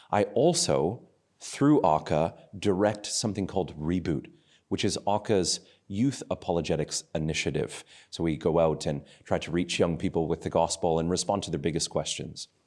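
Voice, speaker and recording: A man speaks with a very deep, low pitch and an ordinary amount of pitch variation. His Canadian accent comes through on a very clean recording with a silent background. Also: moderate pace. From Canada, Calgary, Alberta. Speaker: apologetics youth ministry director. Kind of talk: interview testimony.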